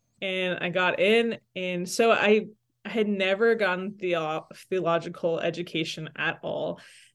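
Against a quiet background, a woman with a Toronto accent speaks fairly slowly at a medium pitch with fairly even intonation. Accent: Canadian (Toronto). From Toronto, Canada; Salvadoran parents. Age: 30s. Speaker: campus minister and church leader. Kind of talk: interview conversation.

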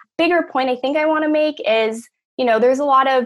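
A plain, everyday voice with an American accent, lively intonation and a fairly quick pace, on a very clean recording with a silent background. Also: woman. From Los Angeles, California. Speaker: law graduate and activist. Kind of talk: panel discussion.

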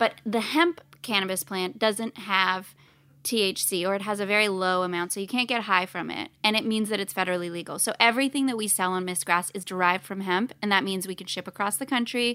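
A woman speaks at a fairly quick pace and medium pitch with a bright, sharp tone, ordinary pitch variation and hardly any pauses, on a very clean recording with a silent background. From Canada. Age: 30s. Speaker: cannabis brand co-founder. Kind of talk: casual interview chat. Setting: studio.

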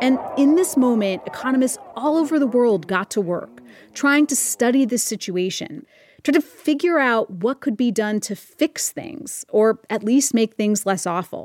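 A woman speaks at a moderate pace with lively intonation and a high pitch, the sound dry and close with no echo. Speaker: podcast host. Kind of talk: explanatory podcast narration. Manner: upbeat, playful.

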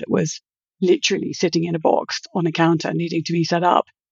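A woman with a British accent and a fairly low pitch for a woman. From Britain. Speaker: virtual security executive, consultant. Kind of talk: podcast interview.

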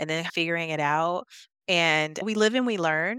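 Dry and close with no echo, the very clean recording has a silent background. A woman talks at a fairly quick pace and fairly low pitch in a bright, sharp tone. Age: 40s. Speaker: entrepreneur. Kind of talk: casual chat.

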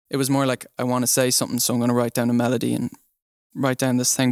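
Delivered in an Irish accent with monotone, flat intonation, the voice is recorded dry and close with no echo, very clean with a silent background. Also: man. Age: young. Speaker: singer-songwriter, music student. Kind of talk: interview.

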